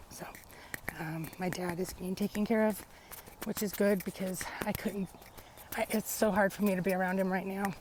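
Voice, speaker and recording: Medium in pitch, a woman speaks with an American accent at a moderate pace. Noticeable background noise sits behind her. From US South, Alabama (Montgomery). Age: 40s. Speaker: vlogger telling personal story. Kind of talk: personal testimony vlog. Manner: hesitant, many fillers.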